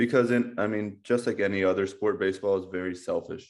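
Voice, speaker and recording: A man speaks in a Midwestern American accent. His intonation is monotone and flat. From US Midwest, Ohio. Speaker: baseball coach, former pro player. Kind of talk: casual interview chat.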